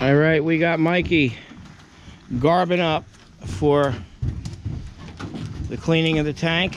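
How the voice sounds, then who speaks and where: A man with a fairly high pitch speaks at a very slow pace, with long, frequent pauses and fairly even intonation. There is audible room echo. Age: 60s. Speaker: oil tank contractor. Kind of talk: casual on-site narration.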